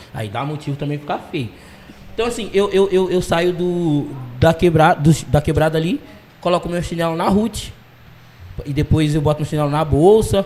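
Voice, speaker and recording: This man speaks in a fairly high pitch with ordinary pitch variation, in an ordinary speaking voice. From Brazil, Londrina (Paraná), arrived from Jamaica at six. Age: 20s. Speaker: dancer and dance teacher. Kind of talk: casual interview.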